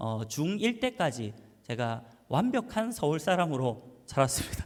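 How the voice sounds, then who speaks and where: This man talks at a fairly slow pace with a Busan accent. His pitch swings very widely. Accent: Gyeongsang (Busan) dialect. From Busan, South Korea (Yeongdo; Seoul until middle school). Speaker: pastor. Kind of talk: sermon. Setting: church. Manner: casual, hesitant with many fillers.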